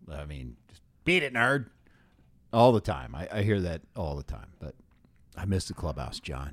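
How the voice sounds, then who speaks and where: Speaking with long, frequent pauses, a man uses a very deep, low pitch with vocal fry, very wide pitch swings and big swings in loudness. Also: moderate pace. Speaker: podcast host and baseball TV reporter. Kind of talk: casual chat. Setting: studio.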